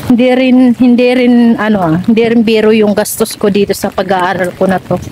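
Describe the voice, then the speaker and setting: Fairly quick, fairly high-pitched female speech at very even loudness, with noticeable background noise. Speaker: vlogger, overseas worker. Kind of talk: vlog. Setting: walking around a school. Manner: soft-spoken.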